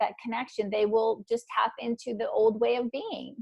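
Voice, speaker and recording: Woman with a fairly high pitch. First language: not English. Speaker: trauma recovery author and coach. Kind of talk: interview conversation. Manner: halting, many repetitions.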